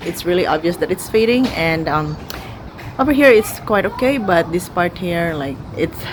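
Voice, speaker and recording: Noticeable background noise around a woman's speech at a moderate tempo. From Philippines. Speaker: beauty vlogger. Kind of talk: casual talk to camera.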